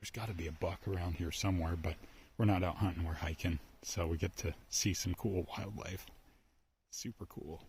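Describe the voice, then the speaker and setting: A man's very deep, low, somewhat breathy voice at a fairly quick pace with fairly even intonation. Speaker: outdoors vlogger. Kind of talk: casual vlog narration while hiking. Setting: outdoors in a forest. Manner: hushed, keeping voice low.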